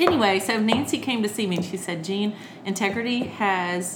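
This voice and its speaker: A woman speaks at a moderate pace and a medium pitch with ordinary pitch variation, over noticeable background noise and audible room echo. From Alabama (Birmingham), US South. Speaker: children's entertainer and author. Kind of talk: casual interview. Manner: talkative.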